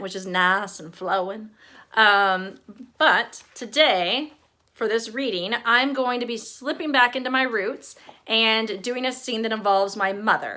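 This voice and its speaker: A woman's fairly high voice, bright and sharp in tone, with ordinary pitch variation and a fairly slow pace. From East Texas. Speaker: author. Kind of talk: casual introduction; reading aloud.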